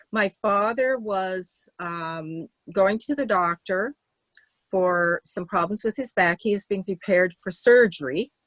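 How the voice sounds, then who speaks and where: Very slowly and with ordinary pitch variation, a woman speaks in a Canadian Maritime accent, recorded very cleanly against a silent background with a dry, close sound and no echo. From Canada, Nova Scotia. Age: 70s. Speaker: class participant. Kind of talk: testimony. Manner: halting.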